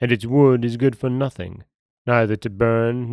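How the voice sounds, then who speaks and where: A man talks at a fairly slow pace and medium pitch in a normal speaking voice. The recording is very clean, with a silent background. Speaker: podcast host and storyteller. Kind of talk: folktale narration, read aloud in a solemn storyteller's tone. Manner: plain, steady, unhurried storytelling pace.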